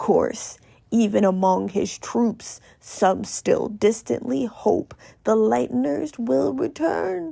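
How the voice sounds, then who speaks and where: A woman uses a put-on character voice that is raspy, at medium pitch and a very slow pace. The recording is very clean, with a silent background. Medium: read story. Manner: weary, cynical, detached.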